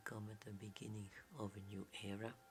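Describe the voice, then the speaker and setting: A soft-spoken whisper at a fairly slow pace, with music playing in the background. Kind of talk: ASMR game tutorial narration. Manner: whispered, soft-spoken.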